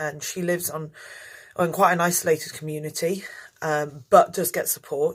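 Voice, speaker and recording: In an English accent, the speaker keeps a fairly even intonation on a very clean recording with a silent background. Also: woman. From England, outskirts of London. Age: 30s. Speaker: tour guide and lecturer. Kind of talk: interview. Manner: hesitant, many fillers.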